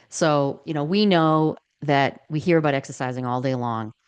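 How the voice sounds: A woman's low-pitched voice, clear and smooth in tone, at a moderate pace. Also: ordinary pitch variation.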